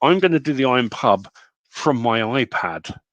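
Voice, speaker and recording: Lively intonation over a quiet background, with dry, close sound and no echo. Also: man. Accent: British. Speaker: online community host. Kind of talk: casual live stream chat.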